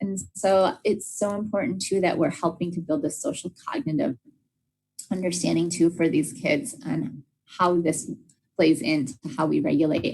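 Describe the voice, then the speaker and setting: A woman with a fairly low pitch and a somewhat breathy voice speaks at a moderate pace with very wide pitch swings. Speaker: special education trainer. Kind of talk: professional development lecture. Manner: frequent fillers (uh, um).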